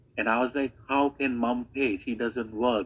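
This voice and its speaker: A man uses a plain, everyday voice, pitched in the medium range and paced moderately. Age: 30s. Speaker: online business coach. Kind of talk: testimony.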